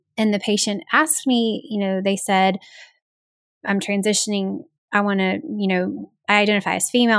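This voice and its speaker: Moderate pace and ordinary pitch variation in a Southern US accent, on a very clean recording with a silent background. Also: woman. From US South. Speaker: pediatric audiologist. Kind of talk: interview.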